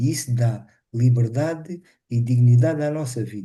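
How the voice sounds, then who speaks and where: A man's dark, mellow tone comes through somewhat breathy. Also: quiet background. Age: 60s. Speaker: webinar participant living with multiple sclerosis. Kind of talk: casual testimony. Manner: halting.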